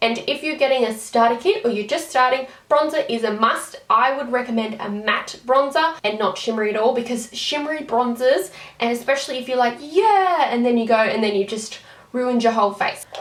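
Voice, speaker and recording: At a fairly quick pace and with ordinary pitch variation, someone speaks in an Australian accent over noticeable background noise. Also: woman, high pitch for a woman. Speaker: beauty vlogger. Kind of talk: tutorial. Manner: fast; casual.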